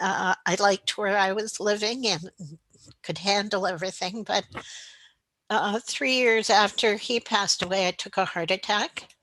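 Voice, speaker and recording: A woman's bright, sharp tone at a moderate pace, with fairly even intonation and a dry, close sound with no echo. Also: medium pitch for a woman. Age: 70s. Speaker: retirement community resident. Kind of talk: interview.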